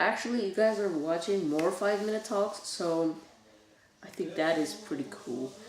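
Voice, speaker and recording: Through noticeable background noise and audible room echo, a woman talks at a moderate pace with lively intonation. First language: Bulgarian. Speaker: youtuber. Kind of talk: casual vlog talk. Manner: halting.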